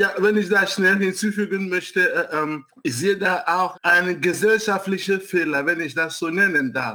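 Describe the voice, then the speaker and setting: A man speaks at a fairly slow pace in a raised, projected voice, his high pitch carrying a bright, sharp tone with ordinary pitch variation. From Nigeria. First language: English and Igbo (speaking German). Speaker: city council candidate, scientist. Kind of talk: interview.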